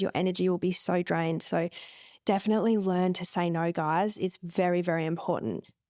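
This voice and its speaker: A woman speaks with an Australian accent at a fairly quick pace and with fairly even intonation. The recording is very clean, with a silent background. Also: dry, close sound with no echo. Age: 30s. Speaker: podcast host. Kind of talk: solo podcast monologue. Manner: casual, conversational.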